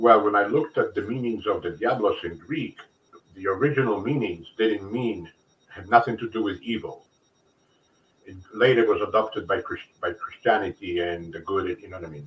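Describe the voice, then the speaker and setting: A man speaks at a moderate pace with ordinary pitch variation and a somewhat breathy voice. His loudness swings widely. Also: medium pitch for a man. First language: Polish. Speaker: interview guest. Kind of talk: casual chat.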